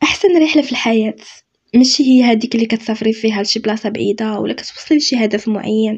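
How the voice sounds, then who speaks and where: With a Moroccan accent, a woman speaks at a fairly high pitch and a fairly quick pace, sounding somewhat breathy, her pitch varying in an ordinary way. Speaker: self-help youtuber. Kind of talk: motivational talk. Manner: spontaneous, unscripted.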